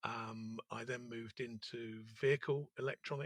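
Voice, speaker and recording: In a London accent, a man speaks with a bright, sharp tone and fairly even intonation, recorded with a dry, close sound and no echo. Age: 60s. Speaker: entrepreneur. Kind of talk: interview. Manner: hesitant, with frequent fillers.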